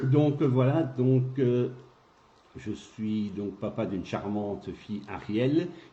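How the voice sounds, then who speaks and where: Very slow and somewhat breathy, a man speaks at medium pitch in a dark, mellow tone with ordinary pitch variation. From Belgium, Gaume (Rachecourt). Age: 60s. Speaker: local election candidate. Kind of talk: interview.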